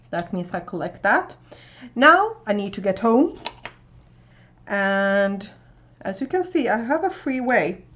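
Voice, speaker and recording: A woman with a Swedish accent, at a fairly slow pace with lively intonation. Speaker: booktuber. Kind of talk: casual video tutorial explaining a reading game. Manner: casual with frequent fillers.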